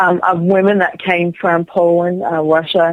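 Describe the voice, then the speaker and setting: Speaking at a fairly slow pace, a woman uses a fairly low pitch and monotone, flat intonation. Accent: American. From Rhode Island, US. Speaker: psychic medium. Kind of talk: interview.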